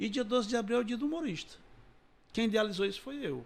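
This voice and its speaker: A man is speaking here. His pace is very fast. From Ceará, Brazil (Massapê, near Sobral). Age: 60s. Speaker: comedian. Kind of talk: interview.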